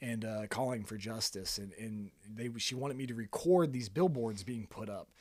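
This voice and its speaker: A man talks with a strong Kentucky accent at a medium pitch. He keeps a moderate pace with hardly any pauses and ordinary pitch variation. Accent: thick Kentucky country. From Kentucky, Fairdale. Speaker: photographer and videographer, small business owner. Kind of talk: casual podcast interview, storytelling.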